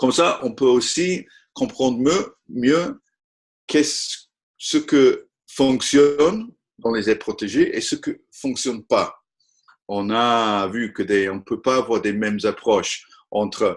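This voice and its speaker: A man with a non-native accent speaks at a very slow pace. Long pauses come often. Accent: non-native French, apologizes for his French. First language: not French (speaking French). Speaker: conservation technology expert. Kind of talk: webinar presentation. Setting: online webinar. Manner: halting, frequent hesitations.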